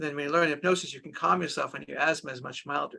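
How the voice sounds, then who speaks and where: Bright and sharp in tone, a man speaks with vocal fry and ordinary pitch variation. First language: Hebrew. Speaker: doctor using hypnosis with children. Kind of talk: interview.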